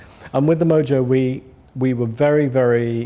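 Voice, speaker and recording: The speaker has a dark, mellow tone, a moderate pace, and ordinary pitch variation. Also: man. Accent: English. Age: 60s. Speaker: audio company founder. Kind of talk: interview. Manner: halting, many repetitions.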